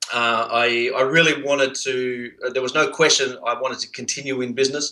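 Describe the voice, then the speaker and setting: With noticeable background noise behind him, a man with an Australian accent talks fairly quickly in a medium pitch and a monotone, flat intonation. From Australia, Sydney. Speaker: entrepreneur, outsourcing business owner. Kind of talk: interview. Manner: halting, many fillers.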